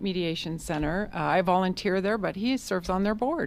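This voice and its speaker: Here is a woman with an American accent and an unremarkable speaking voice. Her medium pitch varies in an ordinary way at a fairly quick pace. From US East Coast. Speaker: mediator and lobbyist. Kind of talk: radio interview.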